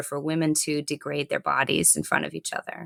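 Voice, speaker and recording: A woman speaks with lively intonation. Her voice sounds dry and close, with no echo. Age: 40s. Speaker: yoga and fitness teacher. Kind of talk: podcast interview. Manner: halting, many repeated starts.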